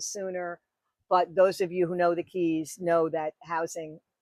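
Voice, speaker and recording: Monotone, flat intonation in a New York accent at a moderate pace, the sound dry and close with no echo. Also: woman. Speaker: wedding officiant. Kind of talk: podcast interview.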